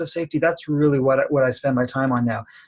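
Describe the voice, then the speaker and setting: A Canadian accent with ordinary pitch variation. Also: man. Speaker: college professor and outdoor education manager. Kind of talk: webinar presentation. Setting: online webinar from his office. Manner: fast.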